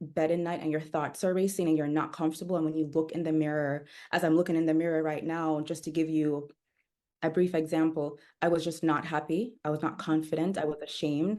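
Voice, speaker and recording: Over a quiet background, a woman speaks at a fairly quick pace with fairly even intonation. Her tone is dark and mellow, her pitch very deep and low. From Jamaica, Kingston. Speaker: wellness coach. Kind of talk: podcast interview.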